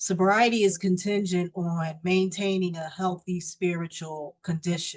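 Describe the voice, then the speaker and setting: At a moderate pace, a woman speaks with a fairly low pitch and fairly even intonation. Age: 60s. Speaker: recovering alcoholic sharing her story. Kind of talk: recovery meeting testimony. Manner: hesitant, with frequent fillers.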